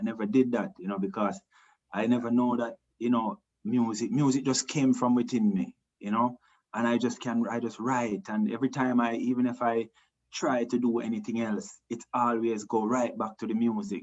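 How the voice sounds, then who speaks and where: Speaking in a Jamaican accent, a man keeps a moderate pace and a medium pitch with ordinary pitch variation. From Jamaica, Montego Bay. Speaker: reggae singer. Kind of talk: interview. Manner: halting.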